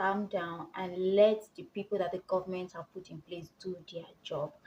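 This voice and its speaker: A woman with a Nigerian accent, somewhat breathy, at a fairly slow pace. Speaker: vlogger. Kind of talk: casual tutorial vlog.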